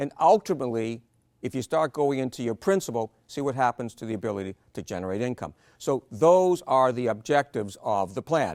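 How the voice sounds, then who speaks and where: A man with a plain, everyday voice talks at a fairly quick pace in a medium pitch with lively intonation, the sound dry and close with no echo on a very clean recording with a silent background. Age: 60s. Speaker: financial planning presenter. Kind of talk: seminar presentation.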